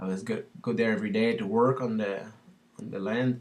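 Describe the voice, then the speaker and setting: Speaking in a French Canadian accent, a man keeps his intonation fairly even. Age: 30s. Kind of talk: casual talk to camera.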